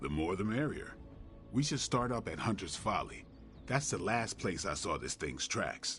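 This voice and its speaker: A man puts on a character voice at a fairly low pitch. He keeps a moderate pace over clear background noise. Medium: video game. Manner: dry, laconic.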